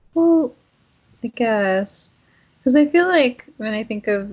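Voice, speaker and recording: A somewhat breathy woman's voice, fairly high in pitch, with lively intonation. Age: 30s. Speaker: podcast co-host. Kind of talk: casual chat.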